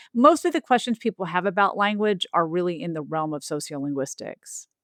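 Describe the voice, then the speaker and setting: Fairly quick, lively speech from a woman at a medium pitch, dry and close with no echo, over a quiet background. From US South. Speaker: linguistics professor and author. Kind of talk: interview.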